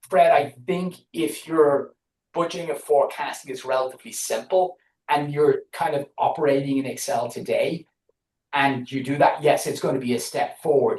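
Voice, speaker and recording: At a moderate pace, a man talks in an Irish accent. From Ireland. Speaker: business analytics consultant. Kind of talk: podcast interview. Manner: halting, many repeated words.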